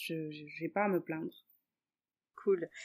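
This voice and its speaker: A woman speaks very slowly in a fairly low pitch. Her pitch varies in an ordinary way. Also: very clean recording, silent background. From Senegal, Dakar. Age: 20s. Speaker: mother and Instagram influencer. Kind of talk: casual interview.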